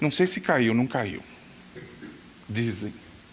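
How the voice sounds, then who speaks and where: Using a raised, projected voice, a man speaks at a moderate pace. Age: 60s. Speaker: pastor. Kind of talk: sermon. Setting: church.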